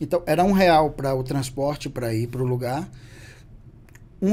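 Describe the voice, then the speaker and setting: A fairly high-pitched man's voice, dark and mellow in tone and somewhat breathy, at a fairly slow pace with ordinary pitch variation. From Bahia, Brazil (Salvador). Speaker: beauty entrepreneur. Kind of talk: podcast interview.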